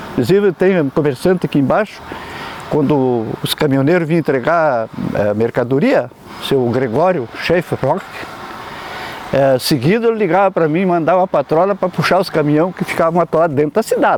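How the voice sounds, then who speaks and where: Noticeable background noise sits behind a man's voice. He speaks at a fairly high pitch with lively intonation. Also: moderate pace. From Rio Grande do Sul, Brazil. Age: 70s. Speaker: former local politician. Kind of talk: oral history interview. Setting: outdoors in a town square.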